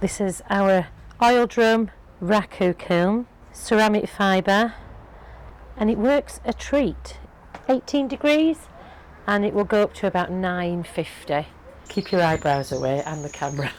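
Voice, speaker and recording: A woman with a Yorkshire accent, medium pitch and very wide pitch swings, at a fairly slow pace with long, frequent pauses. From Yorkshire, England. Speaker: potter. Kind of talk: interview answer and demonstration.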